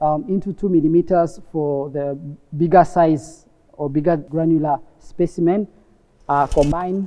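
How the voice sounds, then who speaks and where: Speaking at a fairly slow pace against a quiet background, a man uses a high pitch and a dark, mellow tone with ordinary pitch variation. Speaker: lab technician instructor. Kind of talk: tutorial. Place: workshop.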